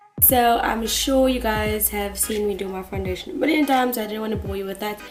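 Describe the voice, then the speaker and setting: A woman speaks quietly with audible room echo and music in the background. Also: fairly quick pace. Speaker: makeup artist. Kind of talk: makeup tutorial.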